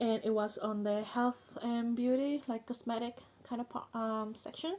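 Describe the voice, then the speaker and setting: A woman speaks at a moderate pace in a Spanish accent. Her pitch is fairly high and her intonation fairly even. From Chile. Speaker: vlogger. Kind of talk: personal vlog monologue. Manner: halting, many fillers.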